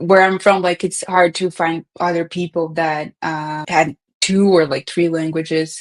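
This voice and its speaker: With a Portuguese accent, a woman talks at a moderate pace in a fairly low pitch and a monotone, flat intonation, the sound dry and close with no echo. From Brazil. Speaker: data professional. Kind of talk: podcast interview. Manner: casual, many fillers.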